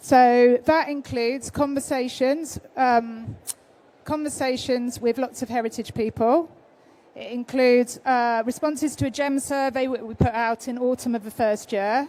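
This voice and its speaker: A woman with a British accent, a high pitch and a dark, mellow tone, at a moderate pace with fairly even intonation. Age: 50s. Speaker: freelance researcher. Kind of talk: conference presentation. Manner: hesitant, many fillers.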